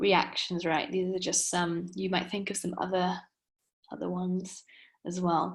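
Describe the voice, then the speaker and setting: A woman with a Welsh accent talks at a medium pitch, with ordinary pitch variation. Her voice is somewhat breathy. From Wales. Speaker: coach. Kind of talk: webinar lecture.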